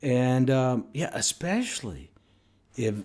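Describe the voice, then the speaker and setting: Someone talks at a very slow pace in a Southern US accent. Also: man. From US South (Mississippi). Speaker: vlogger. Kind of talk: opinion rant to camera. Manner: animated.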